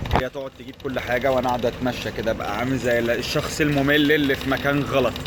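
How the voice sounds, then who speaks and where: A man with an Egyptian accent talks at a very fast pace. His intonation is monotone and flat, with noticeable background noise. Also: medium pitch for a man. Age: 20s. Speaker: vlogger. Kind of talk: casual vlog. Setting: in a shop.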